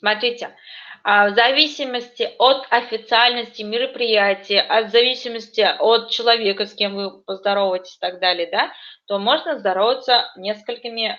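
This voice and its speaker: A woman with a fairly high pitch and a plain, everyday voice speaks at a moderate pace, with ordinary pitch variation and big swings in loudness. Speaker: language teacher. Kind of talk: online lesson.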